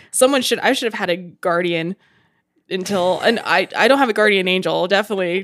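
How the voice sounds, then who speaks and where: A woman with an unremarkable speaking voice and an American accent talks at a fairly quick pace, medium in pitch with ordinary pitch variation. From Utah. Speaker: tattoo artist and podcast co-host. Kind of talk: casual chat.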